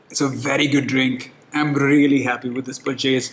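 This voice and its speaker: A man with an Indian accent speaks at a fairly slow pace in a fairly high pitch, with a relaxed tone. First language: Hindi. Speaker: whiskey reviewer. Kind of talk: product review. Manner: casual, relaxed.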